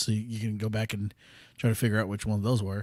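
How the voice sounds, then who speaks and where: On a very clean recording with a silent background, a man speaks very fast at a medium pitch in a flat, monotone delivery. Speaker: podcast host. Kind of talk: casual monologue. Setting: home studio. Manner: halting, many fillers.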